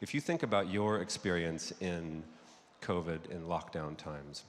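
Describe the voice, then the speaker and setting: A man's very deep, low voice with an American accent and ordinary pitch variation. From United States. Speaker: advertising creative executive. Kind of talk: conference talk. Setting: stage with audience.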